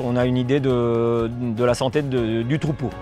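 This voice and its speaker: A man talks with music playing in the background. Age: 50s. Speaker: farmer. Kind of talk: farm presentation. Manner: hesitant, many fillers.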